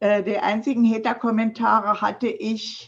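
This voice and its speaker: A woman with a somewhat breathy, fairly high-pitched voice speaks at a fairly slow pace. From Thuringia, Germany (Nordhausen). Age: 70s. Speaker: digital mentor and trainer for seniors. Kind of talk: interview conversation.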